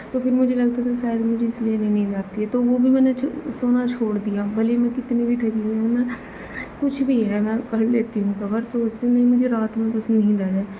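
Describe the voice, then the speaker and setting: A soft-spoken woman at a fairly high pitch, moderate in pace, very even in loudness and monotone, flat in intonation, against noticeable background noise. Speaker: vlogger. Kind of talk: casual vlog talk to camera. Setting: bedroom at night. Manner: hushed, quiet so others stay asleep.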